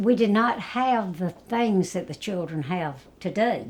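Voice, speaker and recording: The intonation is lively. It comes with a South Carolina accent. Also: woman. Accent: Southern US (South Carolina). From US South, South Carolina (Florence). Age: 80s+. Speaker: retired nursing home activity director. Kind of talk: interview, life story.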